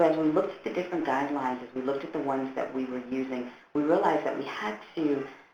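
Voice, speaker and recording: Words come out very fast. There's a noticeable layer of noise behind them. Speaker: forensic interviewer and social worker presenting a webinar. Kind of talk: webinar presentation. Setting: online webinar. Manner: halting with many fillers.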